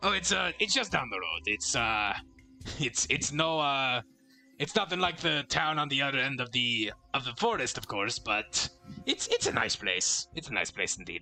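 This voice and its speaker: A man speaks in a put-on character voice at a fairly high pitch and a moderate pace. Faint music plays in the background. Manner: hesitant, with filler pauses.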